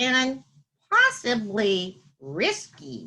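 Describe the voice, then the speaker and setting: This is a woman doing a put-on character voice. Her pitch sits fairly high. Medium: read story. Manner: nervous, hesitant.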